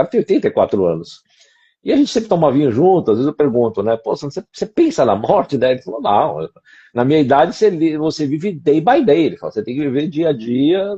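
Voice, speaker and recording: Against a quiet background, a man talks very fast in a fairly high pitch, somewhat breathy and dark, mellow in tone, with very wide pitch swings. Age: 60s. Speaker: co-host of a discussion show. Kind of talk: casual conversation.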